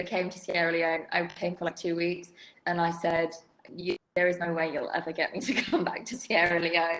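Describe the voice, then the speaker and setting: A woman with a southern English accent talks at a moderate pace and a fairly low pitch. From England, outside London. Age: 30s. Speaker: development sector expert. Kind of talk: casual interview.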